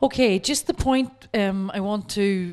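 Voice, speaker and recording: Her voice an ordinary speaking voice, a woman speaks at a medium pitch with ordinary pitch variation. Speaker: workshop speaker. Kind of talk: lecture.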